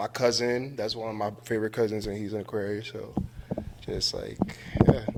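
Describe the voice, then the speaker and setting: A man with an American accent, medium pitch, moderate pace. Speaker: returning podcast guest. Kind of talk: casual chat.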